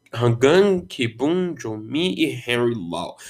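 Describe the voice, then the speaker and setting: A man speaks very slowly, his intonation lively. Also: very clean recording, silent background. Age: 20s. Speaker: podcast host. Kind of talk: solo monologue podcast. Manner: casual, rambling with repetitions.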